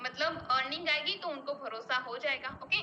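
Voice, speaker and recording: A woman with a Gujarati accent speaks in a raised, projected voice. Her pitch is high, with ordinary variation. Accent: Gujarati-accented Hindi. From Gujarat, India (Ahmedabad). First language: Gujarati (speaking Hindi). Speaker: network marketing business member. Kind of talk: personal success story at online meeting. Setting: online meeting.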